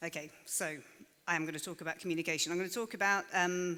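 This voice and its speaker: A woman talking at a very fast pace, fairly low in pitch. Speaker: conference speaker. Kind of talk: presentation talk. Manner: hesitant fillers.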